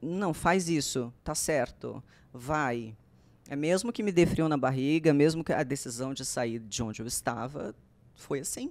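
Her intonation lively, a woman speaks at a fairly slow pace in a very deep, low pitch. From Alagoas, Brazil. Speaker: TV presenter and journalist; podcast guest, presenter. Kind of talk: casual interview chat. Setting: studio. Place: studio. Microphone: studio mic.

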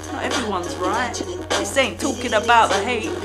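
Over loud background music, the speaker keeps a moderate pace. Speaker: vlogger. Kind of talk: rhythmic spoken-word rant. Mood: angry, indignant. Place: home room. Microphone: phone near.

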